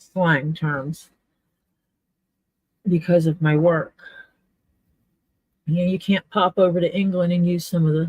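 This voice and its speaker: Speaking at a fairly slow pace with long, frequent pauses, a woman uses a fairly low pitch, fairly even intonation and a somewhat breathy tone, in a dry, close sound with no echo. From US South, Mississippi Gulf Coast. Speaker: leatherworker. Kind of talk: casual chat. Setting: live stream.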